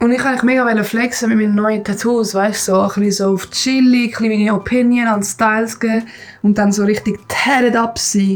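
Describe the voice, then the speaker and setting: With a Swiss accent, a woman speaks at a fairly high pitch and a moderate pace, her intonation monotone and flat. Her loudness stays very even over noticeable background noise. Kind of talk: casual vlog talk to camera. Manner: calm, relaxed.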